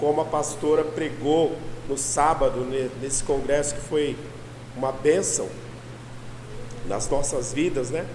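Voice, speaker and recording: Fairly high-pitched male speech at a fairly slow pace, with noticeable background noise and audible room echo. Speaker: pastor. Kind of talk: sermon.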